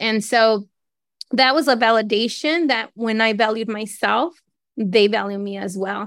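The pace is fairly slow, in an unremarkable speaking voice. The recording is very clean, with a silent background. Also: woman. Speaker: branding photographer. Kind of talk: group discussion.

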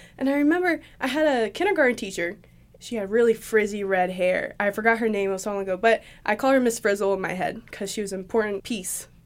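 Very fast and animated, a woman talks at a fairly high pitch. The recording is very clean, with a silent background. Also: lively intonation. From Tennessee. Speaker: artist and videographer. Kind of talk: casual interview. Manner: animated, frequent laughter.

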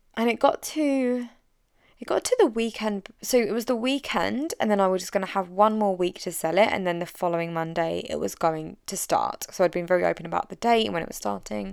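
Speaking at a fairly quick pace, a woman with an English accent has a medium pitch and lively intonation. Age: 30s. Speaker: business coach. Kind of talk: solo podcast monologue. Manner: direct.

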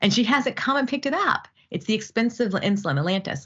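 A woman's fairly high voice with vocal fry, at a very fast pace. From US (army family, moved around). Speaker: physician researcher. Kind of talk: interview. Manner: halting with fillers and repetitions.

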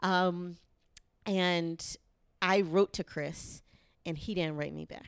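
A woman with an American accent, fairly low-pitched and flat, monotone in intonation, at a very slow pace with long, frequent pauses and big swings in loudness. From US South, Charlotte, North Carolina. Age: 30s. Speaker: podcast guest sharing dating story. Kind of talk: casual chat.

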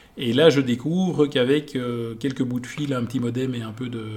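A man with an unremarkable speaking voice, moderate pace and fairly even intonation. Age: 40s. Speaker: entrepreneur. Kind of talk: interview.

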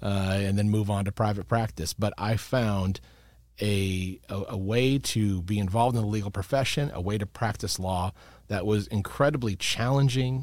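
A man speaks in a normal speaking voice, fairly low in pitch, with ordinary pitch variation. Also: moderate pace, very clean recording, silent background. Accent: American. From Chicago suburbs, US Midwest. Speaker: lawyer, bar ethics counsel. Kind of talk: casual interview.

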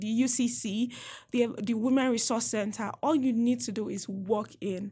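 Heard on a very clean recording with a silent background, a woman speaks at a moderate pace in a fairly high, somewhat breathy voice with ordinary pitch variation. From Nigeria. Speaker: international graduate student. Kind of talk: interview. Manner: animated.

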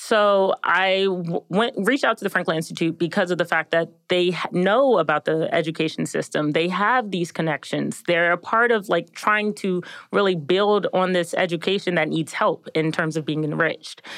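A woman with a plain, everyday voice and an American accent, fairly low pitch, ordinary pitch variation, a moderate pace, very even loudness and a quiet background. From suburban Maryland, US. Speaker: neuroscience PhD student. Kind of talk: casual interview.

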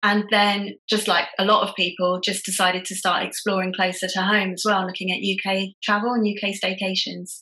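Speaking at a moderate pace with hardly any pauses, a woman keeps her intonation monotone and flat. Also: medium pitch for a woman. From England. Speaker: travel writer. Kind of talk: interview.

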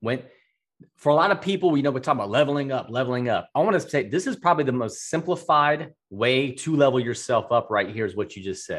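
A man with a fairly high pitch talks at a very fast pace. His tone is animated and his intonation lively. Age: 40s. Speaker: podcast host and entrepreneur. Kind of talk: casual interview chat.

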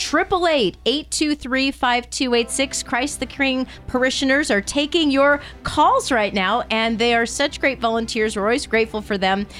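With noticeable background noise behind her, a woman speaks at a high pitch in an upbeat, enthusiastic tone, fairly slowly and with hardly any pauses, her loudness very even and her pitch variation ordinary. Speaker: radio host. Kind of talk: fundraising radio pledge drive. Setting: radio studio.

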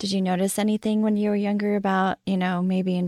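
In a very clean recording with a silent background, a woman speaks at a very fast pace. Her voice has a dark, mellow tone, with a dry, close sound and no echo. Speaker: podcast host. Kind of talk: casual interview conversation.

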